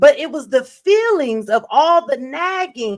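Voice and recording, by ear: A woman's fairly bright voice with lively intonation at a fairly slow pace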